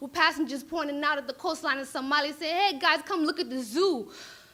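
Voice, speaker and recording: A woman speaks in a raised, projected voice with a bright, sharp tone. Her pitch is high, with ordinary variation. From Minneapolis, Somali diaspora. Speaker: spoken word poet. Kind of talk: spoken word poetry performance. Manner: animated.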